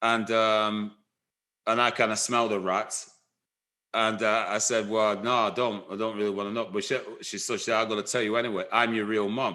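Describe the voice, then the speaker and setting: Against a quiet background, a man with a fairly low pitch and a bright, sharp tone talks at a fairly quick pace in a flat monotone. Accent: Lancashire. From northern England, Blackburn, Lancashire. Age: 60s. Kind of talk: life story interview. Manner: halting, many fillers and restarts.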